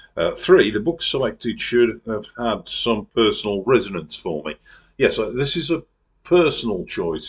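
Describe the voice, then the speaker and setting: A man is speaking. His pitch swings very widely. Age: 60s. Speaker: book channel host. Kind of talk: scripted video monologue. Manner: halting, many fillers.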